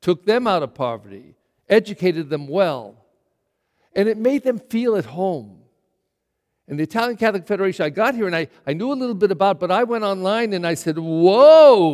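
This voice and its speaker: An American accent from a man with a high pitch, very wide pitch swings and a moderate pace. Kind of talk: sermon. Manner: direct, conversational.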